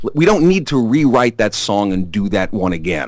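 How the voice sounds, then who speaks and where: This man has a strong Brooklyn accent. He talks at a moderate pace with lively intonation. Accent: thick Brooklyn. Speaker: rock musician, singer-songwriter. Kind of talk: interview. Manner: animated storytelling.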